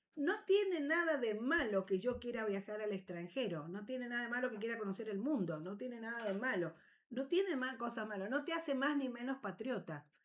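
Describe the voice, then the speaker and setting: Hardly pausing, a woman talks at a fairly quick pace with a fairly high pitch and very wide pitch swings. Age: 60s. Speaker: history teacher. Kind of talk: radio interview. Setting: radio studio.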